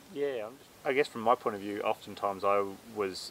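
In an Australian accent, a man speaks at a moderate pace and a fairly low pitch. Noticeable background noise is present. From Australia, central tablelands of New South Wales. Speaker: farmer. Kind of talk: casual chat.

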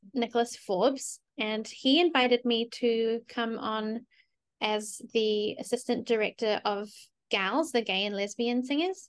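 The speaker has a New Zealand accent and a moderate pace. The background is quiet. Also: woman. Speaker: collaborative pianist. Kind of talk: casual interview.

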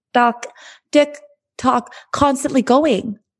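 A woman speaks with a high pitch. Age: 30s. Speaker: podcast host and life coach. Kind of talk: solo podcast monologue.

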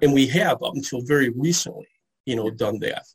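A man's fairly high, somewhat breathy voice with an American accent and ordinary pitch variation. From US Midwest, Detroit area. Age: 60s. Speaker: comic book historian. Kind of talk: interview.

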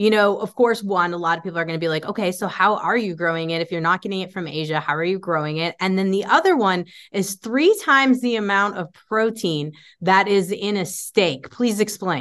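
A woman has an unremarkable speaking voice of medium pitch with ordinary pitch variation. She talks at a fairly quick pace with hardly any pauses against a quiet background. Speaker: podcast host. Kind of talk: casual interview.

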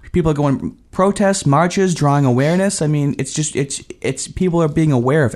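Using a plain, everyday voice, a man talks at a fairly quick pace with hardly any pauses and a fairly high pitch. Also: ordinary pitch variation. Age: 30s. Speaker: podcast co-host. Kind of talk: casual podcast discussion.

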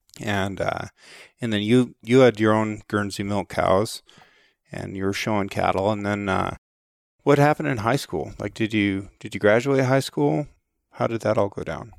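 A normal speaking voice from a man, fairly low in pitch, with ordinary pitch variation and a moderate pace, dry and close with no echo, in a very clean recording with a silent background. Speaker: podcast interviewer. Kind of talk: interview.

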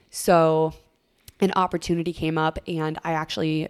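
A woman with an Upper Midwest accent speaks at a very deep, low pitch in a monotone, flat intonation. The recording is very clean, with a silent background. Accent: Upper Midwest American. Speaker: radio DJ. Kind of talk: casual chat.

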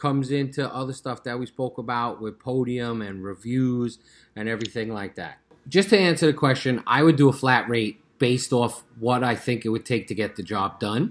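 His pitch sits in the medium range and varies in an ordinary way. The man speaks at a moderate pace in a plain, everyday voice. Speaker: pest control business owner, podcast co-host.

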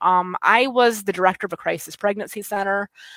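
A woman speaks at a medium pitch with a West Michigan accent. Her pace is fairly quick and her pitch varies in an ordinary way. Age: 30s. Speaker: state party chair. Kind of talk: casual interview. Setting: video call.

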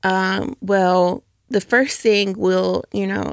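A woman with an American accent, medium pitch, and a dry, close sound with no echo. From US South, suburban Atlanta, Georgia. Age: 20s. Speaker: nonprofit community engagement director, former teacher. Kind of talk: interview. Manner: hesitant, many filler ums.

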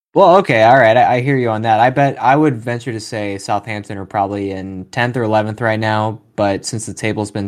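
There is ordinary pitch variation as a man speaks at a fairly quick pace. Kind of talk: sports commentary, excited call of a goal. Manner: animated, excitable, trading short exclamations.

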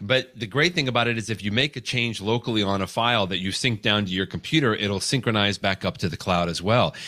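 A man's fairly low, bright, sharp voice at a very fast pace, with hardly any pauses and ordinary pitch variation. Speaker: guest, legal technology consultant. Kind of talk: casual interview conversation. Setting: video call. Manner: chatty, filler words.

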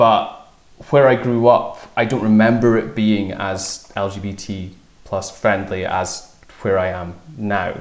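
A man speaks very slowly with a fairly low pitch and fairly even intonation. Noticeable background noise and audible room echo are present. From northeast Scotland, Fraserburgh. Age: 20s. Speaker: sports reporter. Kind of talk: casual interview.

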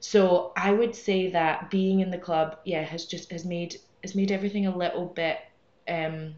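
A woman with a Scottish accent, medium pitch, monotone flat intonation and moderate pace, over noticeable background noise. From Scotland. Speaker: amateur runner. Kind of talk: casual chat.

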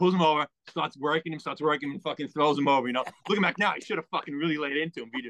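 With a New York accent, a man talks very fast at a fairly high pitch with ordinary pitch variation, the sound dry and close with no echo. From New York, Long Island (Merrick). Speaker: guest co-host, ex-wrestler and collector. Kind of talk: casual chat. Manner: low-energy.

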